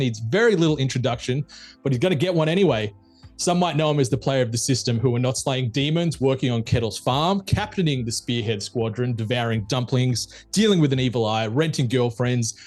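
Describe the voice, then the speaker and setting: With an Australian accent, a man speaks at a fairly quick pace and medium pitch. His pitch varies in an ordinary way while music plays in the background. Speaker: podcast host. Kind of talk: podcast interview questions. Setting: studio.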